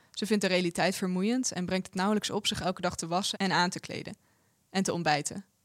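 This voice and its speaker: A woman with a Dutch accent speaks at a very fast pace in a medium pitch, the sound dry and close with no echo on a very clean recording with a silent background. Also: fairly even intonation. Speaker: translator reading Dutch translation. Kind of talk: reading aloud.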